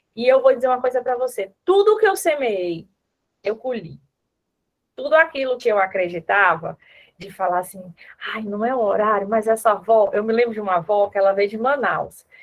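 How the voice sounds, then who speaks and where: A woman with a fairly high voice and ordinary pitch variation speaks with long, frequent pauses. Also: moderate pace. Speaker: former neonatal ICU nurse, speaker. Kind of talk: online conference talk and Q&A.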